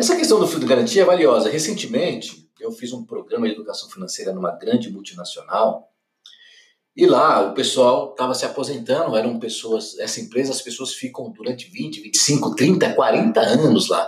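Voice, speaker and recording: A man speaks with a Brazilian accent. His pace is moderate. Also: big swings in loudness. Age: 50s. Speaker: financial educator. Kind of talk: solo podcast commentary.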